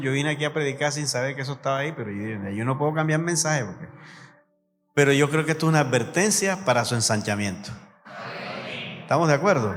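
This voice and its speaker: A man speaks in a fairly high pitch. Audible room echo surrounds his voice. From Colombian Caribbean coast (Sucre, San Andrés de Sotavento). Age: 60s. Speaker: pastor. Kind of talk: sermon.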